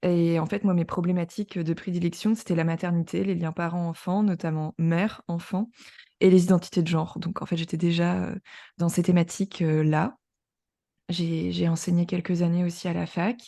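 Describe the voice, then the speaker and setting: Against a quiet background, a woman speaks at a moderate pace with a fairly low pitch, a dark, mellow tone and monotone, flat intonation. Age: 30s. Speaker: journalist and podcaster. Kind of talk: interview testimony.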